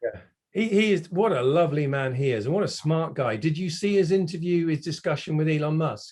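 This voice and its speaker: A man talks in a normal speaking voice at a fairly high pitch. His pace is fairly quick, and his pitch varies in an ordinary way. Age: 60s. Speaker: automotive industry consultant. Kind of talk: casual interview chat.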